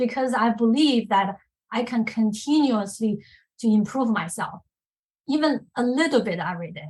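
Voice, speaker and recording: Lively intonation marks this speech. There is a somewhat breathy quality to the voice. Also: woman. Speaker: risk manager, women's leadership group member. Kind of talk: personal career story on podcast panel.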